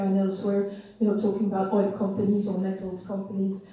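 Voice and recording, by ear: Strong room echo surrounds a woman's voice. Her tone is dark and mellow, and her pace is fairly quick.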